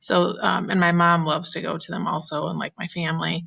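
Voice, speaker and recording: A woman with a bright, sharp tone and vocal fry talks at a moderate pace. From Ohio. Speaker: teacher. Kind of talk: casual self-introduction presentation to students. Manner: chatty, animated.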